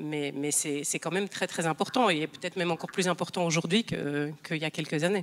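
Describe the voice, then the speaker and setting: A woman at a fairly quick pace, fairly low in pitch for a woman, with ordinary pitch variation and hardly any pauses. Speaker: restaurant owner. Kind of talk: panel discussion. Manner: halting.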